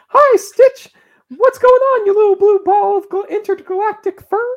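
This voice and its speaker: Delivered at a moderate pace, the put-on character voice sits at an extremely high pitch. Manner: cartoonish, playful.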